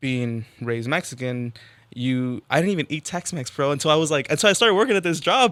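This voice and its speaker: A man talks very fast with an American accent and a bright, sharp tone. His pitch swings very widely on a very clean recording with a silent background. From Texas. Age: 20s. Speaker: rapper. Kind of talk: casual interview.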